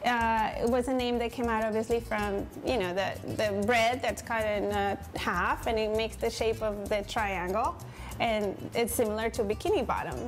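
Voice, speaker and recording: Clear music plays behind a woman talking at a moderate pace. Her loudness stays very even and her intonation fairly even. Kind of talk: interview answer. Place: cafe.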